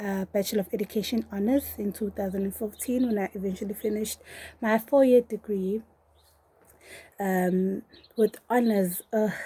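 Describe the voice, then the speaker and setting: A woman's somewhat breathy voice of medium pitch, dark and mellow in tone, with fairly even intonation, a moderate pace, and long, frequent pauses. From South Africa, Durban. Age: 20s. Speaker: PhD candidate and lecturer. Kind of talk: personal testimony.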